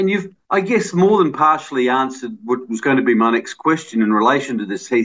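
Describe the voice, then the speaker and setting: Talking at a fairly quick pace with hardly any pauses, a man with an Australian accent uses a medium pitch and very wide pitch swings. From Australia, Adelaide. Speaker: radio host. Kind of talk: radio interview and casual chat.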